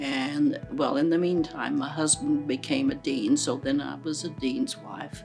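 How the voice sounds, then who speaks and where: Over music in the background, a woman speaks at a fairly slow pace with hardly any pauses. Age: 80s+. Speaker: retired speech-language pathology teacher. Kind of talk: interview answer.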